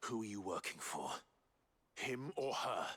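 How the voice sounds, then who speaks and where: In a put-on character voice, a man talks at a moderate pace and medium pitch, sounding raspy. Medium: video game. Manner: polite, composed.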